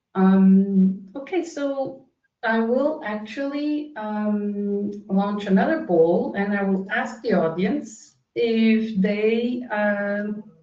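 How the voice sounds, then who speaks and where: This woman has a fairly high pitch, a non-native accent and ordinary pitch variation. She talks at a very slow pace with hardly any pauses. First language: not English. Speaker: webinar moderator. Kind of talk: panel discussion. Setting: online webinar.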